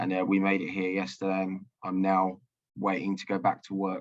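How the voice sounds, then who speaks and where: Speaking at a moderate pace, a man with an English accent has a fairly low pitch. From London, England. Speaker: soldier and interpreter. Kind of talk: video call interview. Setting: video call. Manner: halting.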